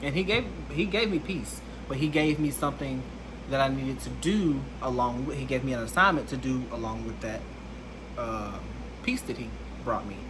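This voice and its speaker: Noticeable background noise and audible room echo surround a man's voice. He speaks at a moderate pace with long, frequent pauses. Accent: Alabama. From US South, Alabama. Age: 20s. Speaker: content creator. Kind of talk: personal testimony vlog.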